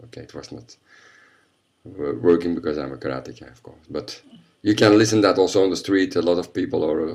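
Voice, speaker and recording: With vocal fry and lively intonation, a man talks at a fairly quick pace in a very deep, low pitch. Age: 50s. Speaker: karate instructor. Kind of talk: interview.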